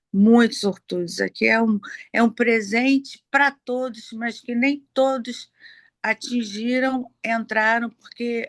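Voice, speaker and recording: A woman's voice is fairly high and fairly even in intonation, moving at a very slow pace. The sound is dry and close, with no echo. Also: big swings in loudness. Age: 60s. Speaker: program participant. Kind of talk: testimony. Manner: halting.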